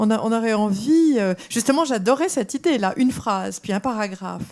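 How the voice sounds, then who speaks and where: With lively intonation and a fairly high pitch, a woman speaks at a moderate pace in a very clean recording with a silent background. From France. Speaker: audience member. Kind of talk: audience question. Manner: halting, many fillers.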